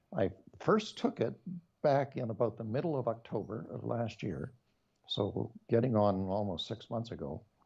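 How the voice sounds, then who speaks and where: At a moderate pace and medium pitch, a man with a Canadian accent uses lively intonation and vocal fry. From Canada. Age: 70s. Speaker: expatriate caller. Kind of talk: phone-in interview. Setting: phone call. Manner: halting, many fillers and repeats.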